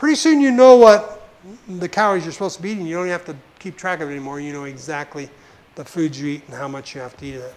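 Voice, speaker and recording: A high-pitched man's voice racing along very fast, with lively intonation and big swings in loudness. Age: 70s. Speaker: visiting health lecturer. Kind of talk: lecture. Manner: conversational.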